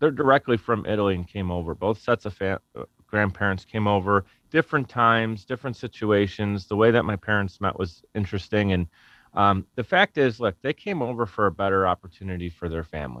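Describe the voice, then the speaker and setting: A man with a Buffalo accent speaks at a fairly low pitch with ordinary pitch variation. The sound is dry and close, with no echo. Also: fairly quick pace. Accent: Western New York (Buffalo) American. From US, Buffalo, New York. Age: 30s. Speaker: podcast company founder. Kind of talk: interview conversation. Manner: casual, halting with self-corrections.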